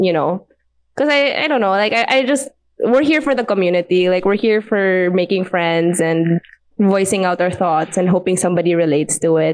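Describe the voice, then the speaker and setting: With a Visayan Filipino accent, a woman speaks at a moderate pace and medium pitch, her intonation lively and her loudness very even. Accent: Filipino (Cebuano) English. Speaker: podcast guest. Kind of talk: casual chat.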